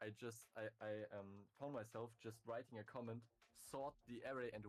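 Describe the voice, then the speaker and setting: In a German accent, a man speaks at a medium pitch. His pace is moderate. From Germany. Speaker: viewer, programmer. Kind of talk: casual chat. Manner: halting, many fillers.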